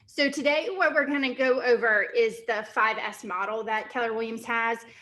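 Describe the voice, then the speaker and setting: A woman's raised, projected voice, bright and sharp in tone, with lively intonation, a fairly slow pace and audible room echo. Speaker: real estate team CEO and workshop trainer. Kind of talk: workshop lecture. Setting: training room with Zoom participants.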